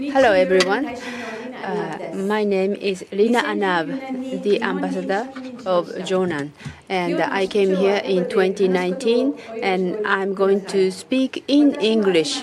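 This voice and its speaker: Over noticeable background noise and audible room echo, a woman at medium pitch speaks at a very slow pace with ordinary pitch variation. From Jordan. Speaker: ambassador. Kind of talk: keynote speech. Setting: conference stage with audience.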